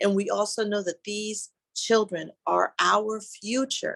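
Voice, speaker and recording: A woman's plain, everyday voice at medium pitch, with ordinary pitch variation and a quiet background. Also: dry, close sound with no echo. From outside the US, immigrant. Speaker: panelist at mothers' summit. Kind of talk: panel talk.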